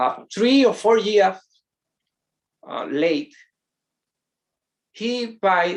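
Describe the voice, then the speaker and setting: A man speaks at a very slow pace. He has a Spanish accent. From Dominican Republic. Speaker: pastor. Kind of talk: sermon. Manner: halting.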